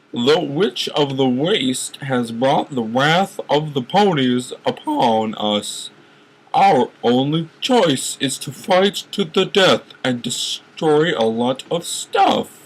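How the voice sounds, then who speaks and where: Using a put-on character voice, a man speaks at a very slow pace and a fairly high pitch. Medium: read story. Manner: hushed, dramatic.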